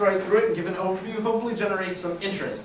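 Light background noise runs behind a man's voice. The room echo is audible. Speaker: researcher. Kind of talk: research presentation to a live audience. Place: classroom.

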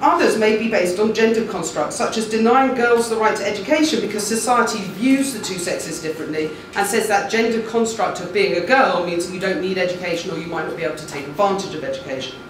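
A woman's very fast speech with lively intonation and hardly any pauses, plus audible room echo and light background noise. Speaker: law professor. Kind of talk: panel talk. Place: classroom.

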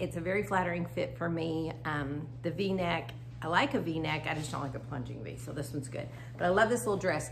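Over clear background noise, a woman speaks at a low pitch and fairly quick pace, with ordinary pitch variation and vocal fry.

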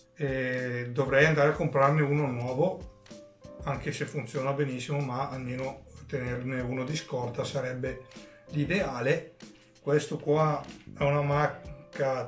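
A man speaks fairly slowly, with long, frequent pauses and fairly even intonation. Faint music plays in the background, and the room echo is audible. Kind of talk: tutorial. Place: home room.

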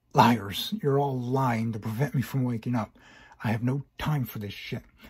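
The voice reads naturally. Nothing about the reading sounds unnatural.

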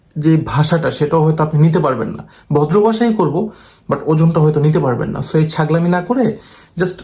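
With a plain, everyday voice, this man speaks at a fairly high pitch with ordinary pitch variation and very even loudness. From Bangladesh, Dhaka and Chittagong area. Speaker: visa and overseas job agent. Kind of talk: monologue video update. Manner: blunt, assertive.

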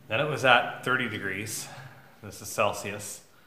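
Speaking at a moderate pace, a man is heard amid light background noise. The room adds audible echo. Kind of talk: casual vlog chat. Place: workshop. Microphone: phone near.

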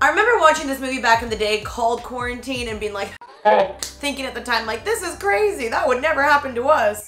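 A woman speaks at a fairly quick pace in a high voice. Faint music plays behind her, and the room echo is audible. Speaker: lifestyle vlogger. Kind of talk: casual vlog chat. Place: home room. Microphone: camera far.

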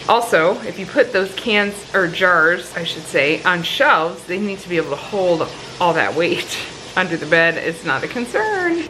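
Over light background noise, a woman talks at a moderate pace with big swings in loudness and ordinary pitch variation. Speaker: home vlogger. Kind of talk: casual vlog chat. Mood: relaxed, chatty. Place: kitchen. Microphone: phone near.

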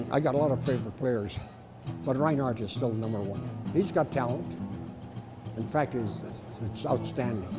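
A man at a moderate pace with long, frequent pauses, clear music in the background. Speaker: longtime hockey fan. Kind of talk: interview answer. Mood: warm, proud. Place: stadium.

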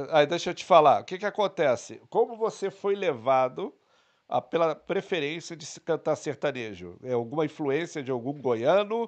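Against a quiet background, the speech moves at a moderate pace with lively intonation and big swings in loudness. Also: man. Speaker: podcast co-host. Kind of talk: casual chat. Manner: joking, playful. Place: studio. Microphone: studio mic.

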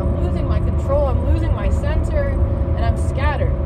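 A woman talking at a very fast pace over loud background noise. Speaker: spiritual vlogger. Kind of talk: casual vlog chat. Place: car. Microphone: phone near.

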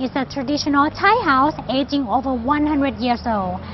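A woman talks at a moderate pace with a high pitch. Noticeable background noise is present. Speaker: presenter. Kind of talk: travel presentation. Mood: light, friendly. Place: waterside.

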